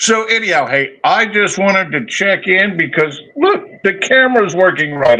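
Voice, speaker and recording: A man with a high pitch uses a raised, projected voice at a moderate pace with hardly any pauses. His loudness is very even while his pitch swings very widely. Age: 60s. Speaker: fishkeeping hobbyist showing their tank. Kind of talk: casual chat.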